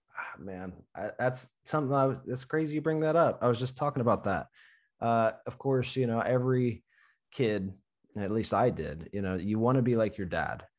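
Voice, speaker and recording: Over a quiet background, a man talks at a moderate pace and medium pitch with ordinary pitch variation and an ordinary speaking voice. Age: 20s. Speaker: podcast host and tree climber. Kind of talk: casual chat.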